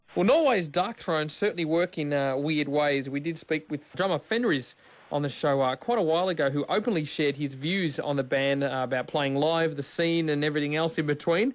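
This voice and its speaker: A man with an Australian accent and a fairly high voice speaks at a fairly quick pace, with ordinary pitch variation and hardly any pauses. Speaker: radio host. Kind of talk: radio interview.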